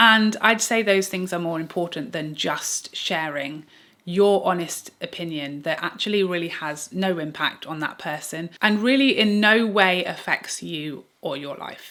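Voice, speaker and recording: In an English accent, a woman speaks at a fairly low pitch with ordinary pitch variation and a bright, sharp tone. Her loudness swings widely, on a very clean recording with a silent background. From England. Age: 30s. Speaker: beauty YouTuber. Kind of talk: casual reaction monologue to camera.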